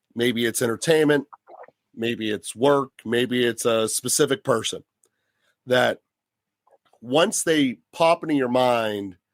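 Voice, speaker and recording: A medium-pitched man at a very slow pace, with long, frequent pauses, ordinary pitch variation and a dry, close sound with no echo. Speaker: podcast co-host. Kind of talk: casual chat.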